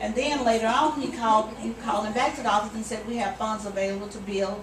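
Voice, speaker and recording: Audible room echo and noticeable background noise accompany a woman speaking at a fairly high pitch. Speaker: storyteller, farmer's family. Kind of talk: storytelling.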